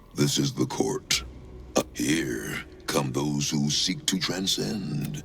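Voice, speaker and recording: Over clear background noise, a man puts on a character voice, very deep and low, and talks at a very slow pace. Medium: video game. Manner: grim, solemn, menacing.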